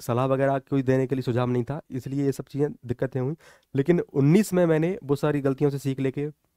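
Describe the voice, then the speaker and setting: The voice has a dark, mellow tone and fairly even intonation at a moderate pace. The sound is dry with no echo, over a quiet background. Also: man, fairly high pitch for a man. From Morena district, Chambal region, Madhya Pradesh, India; Madhya Pradesh. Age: 20s. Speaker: police officer, exam topper. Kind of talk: motivational talk and exam guidance. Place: studio. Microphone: headset.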